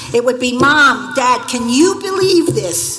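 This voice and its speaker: A woman with an American accent at a fairly slow pace, very wide pitch swings, audible room echo and noticeable background noise. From Staten Island, New York. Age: 70s. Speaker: former journalist, honorary degree recipient. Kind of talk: commencement acceptance speech.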